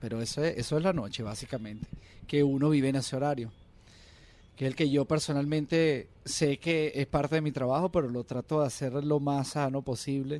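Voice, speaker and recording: A man speaks with a Venezuelan accent. His pitch is medium. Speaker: singer. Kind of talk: casual chat.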